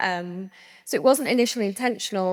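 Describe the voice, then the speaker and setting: In a very clean recording with a silent background, a woman with a Lancashire accent talks at a fairly quick pace. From northern England, Lancaster. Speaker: brand co-founder. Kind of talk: panel discussion.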